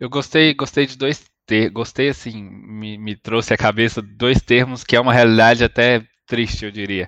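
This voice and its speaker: A man speaks in an ordinary speaking voice at medium pitch, with fairly even intonation and a moderate pace with hardly any pauses. His loudness swings widely, and the sound is dry and close with no echo against a quiet background. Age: 30s. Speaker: podcast host. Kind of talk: interview.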